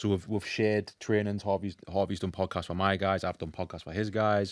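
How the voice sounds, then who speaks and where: A man with a northeast England accent talks at a fairly quick pace in a very clean recording with a silent background. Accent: South Shields Geordie. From northern England, South Shields. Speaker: fitness and emotional eating coach, podcast host. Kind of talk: casual chat. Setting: in-person recording.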